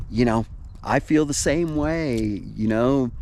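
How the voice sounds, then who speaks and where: A man with an unremarkable speaking voice talks at medium pitch. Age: 60s. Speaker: vlogger. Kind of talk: casual vlog monologue. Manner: rambling, relaxed.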